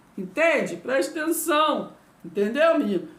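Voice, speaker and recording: A woman speaks at a high pitch with very wide pitch swings. Audible room echo surrounds her voice. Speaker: Bible teacher. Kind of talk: Bible teaching video lesson. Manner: slow, deliberate; repetitive, hesitant.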